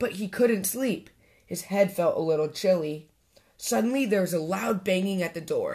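Lively intonation runs through the reading. The voice reads naturally.

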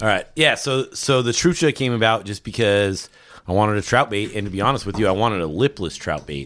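American-accented man at a fairly low pitch and fairly quick pace, on a very clean recording with a silent background. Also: lively intonation. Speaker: fishing lure maker. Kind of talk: casual chat. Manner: rambling, all over the place.

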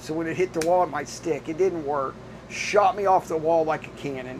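Amid noticeable background noise, a man talks with a fairly high pitch. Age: 60s. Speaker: restaurant owner and amateur racing driver. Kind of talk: casual interview. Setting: in an RV at a race track.

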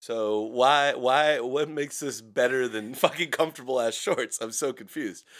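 On a very clean recording with a silent background, a man with an American accent and a normal speaking voice talks at a moderate pace and medium pitch, with ordinary pitch variation and hardly any pauses. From US Pacific Northwest, Seattle area. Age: 30s. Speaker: podcast co-host. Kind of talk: casual chat.

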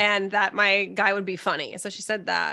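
A woman talks at a moderate pace with a medium pitch. Her tone is animated, bright and sharp. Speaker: podcast host. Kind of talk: casual chat.

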